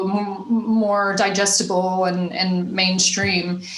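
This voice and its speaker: A woman at medium pitch talks with audible room echo around her. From US South, Nashville. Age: 30s. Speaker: stand-up comedian. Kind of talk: casual interview chat.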